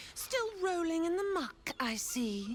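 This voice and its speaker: Against clear background noise, a woman does a put-on character voice, extremely high in pitch and with very wide pitch swings. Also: fairly slow pace. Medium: video game. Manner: menacing, mocking.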